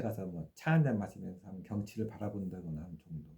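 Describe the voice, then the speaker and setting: Somewhat breathy with a dark, mellow tone, a man talks at a fairly quick pace with lively intonation. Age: 60s. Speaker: faith YouTuber. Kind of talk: casual monologue. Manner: hesitant, many fillers.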